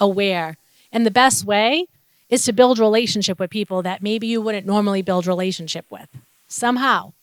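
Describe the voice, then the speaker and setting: Recorded very cleanly against a silent background, a woman with a Boston accent speaks fairly quickly at a medium pitch with ordinary pitch variation. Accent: Boston North Shore. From Massachusetts North Shore (Revere, Saugus). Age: 40s. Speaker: trafficking survivor and advocate. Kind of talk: testimony.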